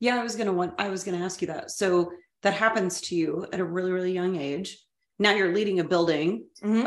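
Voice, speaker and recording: With a normal speaking voice, a woman talks at a moderate pace, her fairly low pitch held in fairly even intonation. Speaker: podcast co-host, educator. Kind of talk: casual chat, interview.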